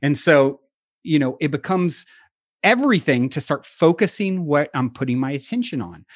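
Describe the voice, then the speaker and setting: In an ordinary speaking voice, the speaker uses lively intonation at a moderate pace, recorded with a dry, close sound with no echo against a quiet background. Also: man, fairly high pitch for a man. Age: 40s. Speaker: podcast host and author, interview guest. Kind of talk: interview conversation.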